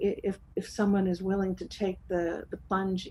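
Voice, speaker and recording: A woman talks at a moderate pace with a medium pitch. Her voice is somewhat breathy, with a dark, mellow tone. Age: 60s. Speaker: talk show guest. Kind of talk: casual chat. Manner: halting.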